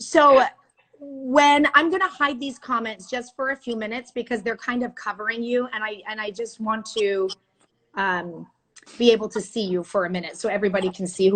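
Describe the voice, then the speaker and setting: A woman with an Iranian accent talks fairly quickly at a fairly high pitch, with ordinary pitch variation. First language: Farsi. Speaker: news anchor. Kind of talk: casual chat. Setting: video call.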